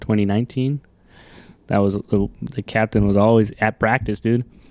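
The man's voice is dark and mellow in tone, with an American accent. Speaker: rodeo rider. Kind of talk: casual chat.

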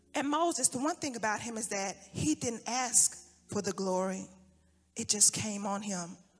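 This woman talks at a moderate pace in a fairly high, somewhat breathy voice, with an animated tone and lively intonation. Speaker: preacher. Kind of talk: sermon. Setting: church. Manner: animated, impassioned preaching.

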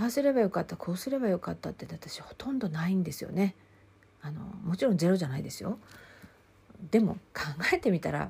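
A woman at a very fast pace with long, frequent pauses, lively intonation, vocal fry, a dark, mellow tone and a medium pitch. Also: big swings in loudness. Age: 50s. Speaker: counselor and podcast host. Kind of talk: solo podcast talk.

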